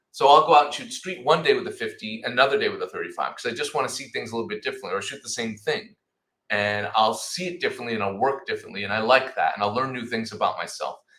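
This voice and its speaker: Talking at a very fast pace in a Rhode Island accent, a man sounds animated, his loudness swinging widely. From Rhode Island, US. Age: 40s. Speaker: photojournalist. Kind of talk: casual interview chat. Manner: animated, repeats words.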